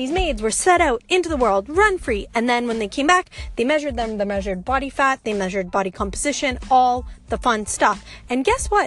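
Her voice is high and swings very widely in pitch as this woman talks at a fairly quick pace. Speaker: fitness and yoga business owner, podcaster. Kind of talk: casual solo monologue. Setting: in a parked car. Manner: rambling, casual.

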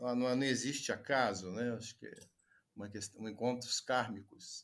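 A man of medium pitch speaks at a very slow pace with ordinary pitch variation on a very clean recording with a silent background. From Juiz de Fora, Minas Gerais, Brazil. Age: 40s. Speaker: doctor and teacher. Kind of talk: interview conversation.

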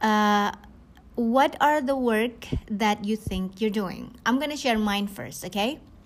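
A woman with an Indonesian accent talks at a very slow pace, her fairly high pitch showing ordinary variation. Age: 40s. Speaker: network marketing leader. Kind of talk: podcast monologue, coaching talk. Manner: hesitant, many fillers.

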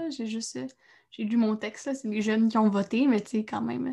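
A woman's fairly high, somewhat breathy voice with fairly even intonation at a moderate pace, on a very clean recording with a silent background. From Quebec, Trois-Rivières. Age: young. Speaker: actress. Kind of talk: casual interview chat.

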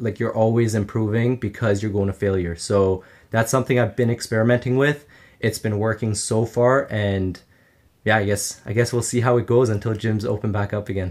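Here is a man with a plain, everyday voice and a Canadian accent. He talks at a fairly quick pace, fairly low in pitch, with fairly even intonation. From Canada, Ottawa. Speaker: footballer and online influencer. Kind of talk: casual chat.

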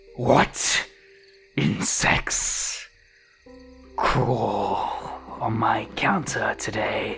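In a put-on character voice, a raspy man speaks at a very slow pace over faint music in the background.

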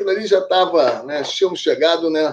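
Words come at a very fast pace, with noticeable background noise present. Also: man. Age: 50s. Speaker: police chief and political scientist. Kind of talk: podcast interview.

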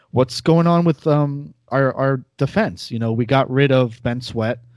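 A man with an American accent has an ordinary speaking voice with ordinary pitch variation at a fairly slow pace. The sound is dry and close with no echo, in a very clean recording with a silent background. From US, New York area. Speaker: soccer podcast host. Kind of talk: casual chat.

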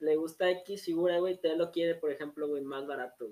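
Here a man speaks with a high pitch. His pace is fairly slow. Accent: Mexican. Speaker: podcast host. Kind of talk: casual chat.

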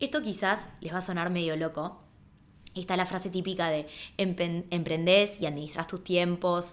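A woman with an unremarkable speaking voice talks fairly slowly at a fairly low pitch, her intonation fairly even. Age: 30s. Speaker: podcast host and entrepreneur. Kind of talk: personal storytelling monologue.

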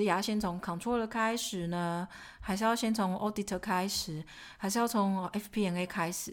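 In a very clean recording with a silent background, a woman speaks at a fairly quick pace. She has a plain, everyday voice at a medium pitch, with ordinary pitch variation. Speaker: podcast co-host, finance professional. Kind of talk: casual chat.

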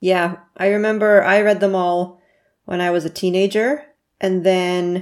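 A woman talks at a fairly slow pace in a plain, everyday voice. The recording is very clean, with a silent background. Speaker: podcast co-host. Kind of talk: casual chat about a book.

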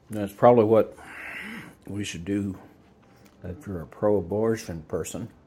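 Speaking in a Texan accent at a moderate pace, a man with a fairly low pitch uses fairly even intonation, long, frequent pauses and big swings in loudness. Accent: Texan American. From Texas. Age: 70s. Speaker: vlogger. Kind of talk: casual monologue. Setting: outdoors.

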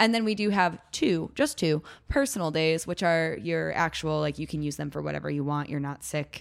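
A woman talks with a Chicago accent, barely pausing. The recording is very clean, with a silent background. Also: moderate pace. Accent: Chicago-area American. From US Midwest, Chicago suburbs. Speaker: gym member, former rugby player. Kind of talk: casual chat.

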